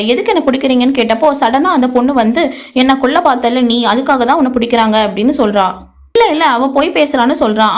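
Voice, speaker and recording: High pitch and ordinary pitch variation in a woman's voice. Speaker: voice-over narrator. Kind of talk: movie recap narration.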